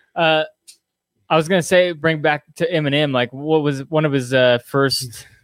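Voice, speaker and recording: A man with a plain, everyday voice talks at a moderate pace in a fairly high pitch with fairly even intonation. His loudness stays very even, and the sound is dry and close with no echo. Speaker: podcast host. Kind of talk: casual chat. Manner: casual, joking.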